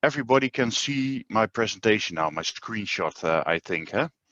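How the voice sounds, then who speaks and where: With a Dutch accent, a man speaks at a moderate pace with very wide pitch swings in a dry, close sound with no echo. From Netherlands. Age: 40s. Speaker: groundwater dewatering business owner. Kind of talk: webinar presentation. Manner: hesitant, many filler sounds.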